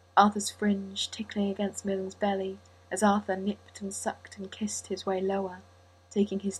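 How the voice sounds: Natural reading voice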